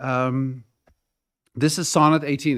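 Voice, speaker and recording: A man with a Dutch accent on a very clean recording with a silent background. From Netherlands. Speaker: community delegate, poetry reader. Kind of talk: public presentation at council meeting.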